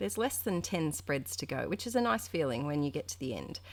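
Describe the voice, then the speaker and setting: A woman's voice swings very widely in pitch in a very clean recording with a silent background. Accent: Australian. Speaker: art journaling youtuber. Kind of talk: casual chat tutorial. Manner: chatty, hesitant with fillers.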